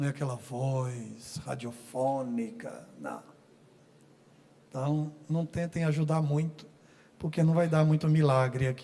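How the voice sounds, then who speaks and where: A man with a dark, mellow tone and a somewhat breathy voice talks at a very slow pace. His pitch varies in an ordinary way, broken by long, frequent pauses. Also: fairly high pitch for a man. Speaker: pastor. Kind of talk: sermon. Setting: church.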